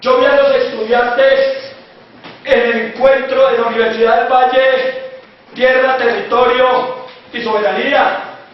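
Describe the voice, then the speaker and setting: A man speaks at an extremely high pitch in an animated tone. The room echoes audibly, and there is noticeable background noise. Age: 60s. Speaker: university professor and former student leader. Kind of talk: speech to a student assembly. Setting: university assembly. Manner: animated, exhorting.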